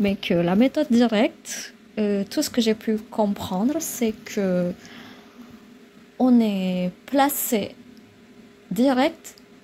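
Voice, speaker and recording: Against noticeable background noise, a woman with an Indonesian accent speaks very slowly, with long, frequent pauses. Her pitch is fairly high, with ordinary variation. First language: Indonesian (speaking French). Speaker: vlogger. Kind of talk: casual vlog talk. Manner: halting, many filler sounds.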